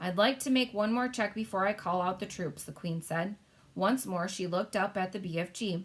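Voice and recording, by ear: Natural-voiced reading aloud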